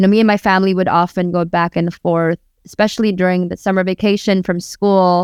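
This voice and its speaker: With a Filipino accent, a woman speaks at medium pitch in a flat, monotone way. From Tacloban, Philippines, raised Bay Area California. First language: Waray-Waray. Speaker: rapper and spoken word artist. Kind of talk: casual interview conversation.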